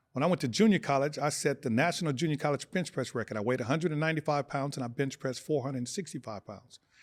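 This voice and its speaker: A man with an American accent and a fairly high pitch, talking very fast, in a very clean recording with a silent background. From Los Angeles (South Central), California. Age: 60s. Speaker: former pro football player and TV gladiator. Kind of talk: podcast interview. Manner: animated.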